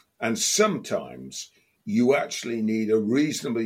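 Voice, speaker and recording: English-accented speech from a man, on a very clean recording with a silent background. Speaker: football podcast co-host. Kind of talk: casual chat.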